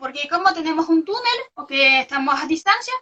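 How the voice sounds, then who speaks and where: A woman speaks at a moderate pace in a raised, projected voice, her tone bright and sharp and her pitch high. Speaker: researcher. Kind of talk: interview. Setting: video call. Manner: halting.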